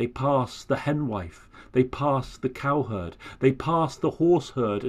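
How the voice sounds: The speaker uses a natural reading voice.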